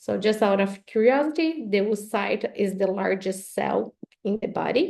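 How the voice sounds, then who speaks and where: With a Brazilian Portuguese accent, a woman speaks at a medium pitch. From southern Brazil. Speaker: professor. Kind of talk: webinar lecture.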